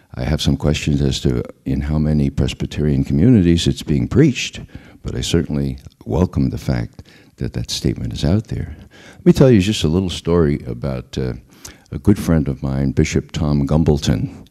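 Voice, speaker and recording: A dark, mellow tone with a New York accent, ordinary pitch variation and a moderate pace. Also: man, very deep, low pitch for a man. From US Northeast, the Bronx, New York. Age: 60s. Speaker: former intelligence analyst and activist. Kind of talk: public talk.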